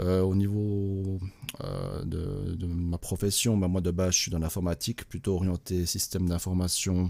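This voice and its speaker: In a very clean recording with a silent background, a man with a Swiss accent speaks at a moderate pace in a very deep, low pitch. His tone is dark and mellow and somewhat breathy. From Switzerland, Neuchâtel. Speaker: crypto investor, former IT manager. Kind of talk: casual group chat. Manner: hesitant, many fillers.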